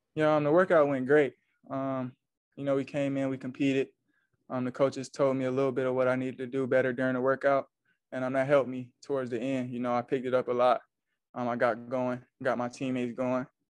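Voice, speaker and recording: Flat, monotone intonation comes from a man speaking at a very fast pace. The sound is dry with no echo, over a quiet background. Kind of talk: interview answer. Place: meeting room.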